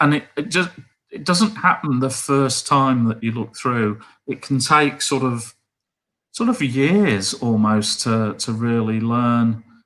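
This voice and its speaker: The man's tone is bright and sharp, with ordinary pitch variation. His pace is very slow. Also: medium pitch for a man. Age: 60s. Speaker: amateur astronomer. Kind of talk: live stream Q&A. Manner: halting.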